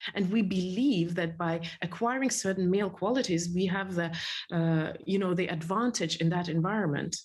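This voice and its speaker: Her pitch sits in the medium range and varies in an ordinary way, with a somewhat breathy quality. The woman keeps a moderate pace and very even loudness, and room echo can be heard. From Soviet Union. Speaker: entrepreneur and speaker. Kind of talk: interview conversation. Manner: halting.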